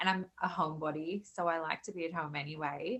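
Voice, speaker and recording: With a slight South African accent, a woman talks at a moderate pace in a fairly low, bright, sharp voice with fairly even intonation against a quiet background. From South Africa, then Australia from age 13. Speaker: podcast guest. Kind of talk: casual interview. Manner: hesitant, many fillers.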